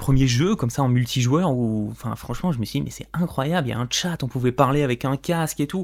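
A man at medium pitch, fairly quick, with ordinary pitch variation, on a very clean recording with a silent background. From France, Corrèze (Limousin). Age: 20s. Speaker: podcast host, freelancer. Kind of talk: solo monologue, personal story. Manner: unscripted, some stumbling.

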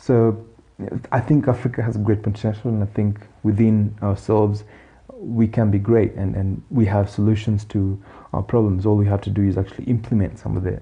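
Somewhat breathy and dark, mellow in tone, a man's fairly low voice moves at a moderate pace with monotone, flat intonation. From Kenya. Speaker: economist podcast host. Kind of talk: solo podcast commentary. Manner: halting with fillers.

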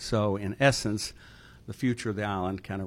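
A man with an American accent, a normal speaking voice, fairly low pitch, fairly even intonation and a fairly quick pace. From New York City, Brooklyn. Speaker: co-host and political science professor. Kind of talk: lecture.

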